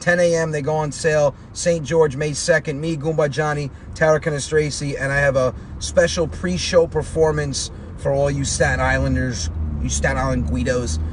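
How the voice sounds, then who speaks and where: At a moderate pace, a man talks in an American accent. Noticeable background noise is present. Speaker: comedian. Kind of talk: casual interview chat.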